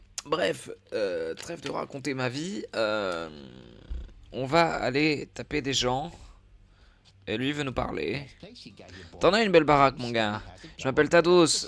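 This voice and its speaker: Speaking very slowly with long, frequent pauses, a man uses a fairly high pitch, lively intonation and vocal fry. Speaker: gaming streamer. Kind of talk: live gameplay commentary. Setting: live stream. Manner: hesitant, many fillers; quiet, not shouting.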